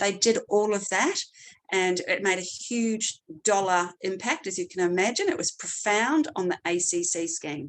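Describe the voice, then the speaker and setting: The speaker has a slight New Zealand accent. The pitch varies in an ordinary way. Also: woman. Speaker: clinical neuropsychologist. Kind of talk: seminar presentation. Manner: hesitant with frequent fillers.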